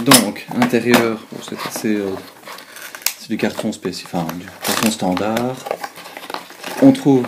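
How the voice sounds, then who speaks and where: In a Belgian accent, a man speaks very slowly at a medium pitch, leaving long, frequent pauses. His pitch variation is ordinary, and background noise is noticeable. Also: big swings in loudness. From Belgium. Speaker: student. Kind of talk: product review talk to camera. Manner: hesitant, many fillers.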